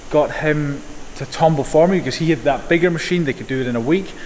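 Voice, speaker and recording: A man's fairly high voice varies in pitch in an ordinary way over noticeable background noise. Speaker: knife maker and YouTuber. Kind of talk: casual workshop vlog. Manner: fast.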